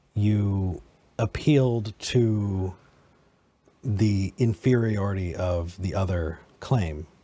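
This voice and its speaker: A man's somewhat breathy voice, fairly low in pitch and dark, mellow in tone, with ordinary pitch variation, on a very clean recording with a silent background. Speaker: podcast host. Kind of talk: debate.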